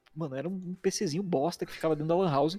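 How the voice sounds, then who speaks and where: Music plays behind a man speaking at a very fast pace. His pitch is high, with ordinary variation. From Curitiba, southern Brazil. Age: 30s. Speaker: video editor and motion designer, former pro gamer. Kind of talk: casual interview chat. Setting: livestream.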